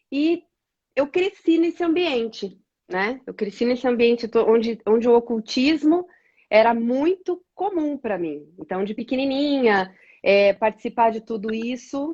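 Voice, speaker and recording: A woman's fairly high voice with very wide pitch swings, at a fairly slow pace against a quiet background. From interior of Paraná, Brazil (Toledo). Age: 40s. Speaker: women's ministry leader. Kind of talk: testimony.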